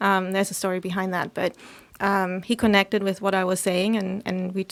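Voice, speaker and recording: A woman with a German accent at a medium pitch. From Germany. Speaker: podcaster and local business owner. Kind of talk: casual interview.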